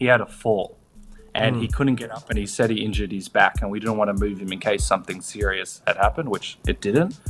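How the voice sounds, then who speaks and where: Someone speaks at a very fast pace with an Australian accent. Music plays in the background. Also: man, fairly low pitch for a man, ordinary pitch variation. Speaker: comedian, screenwriter and podcast host. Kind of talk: interview answer. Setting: remote call on holiday, no podcast equipment.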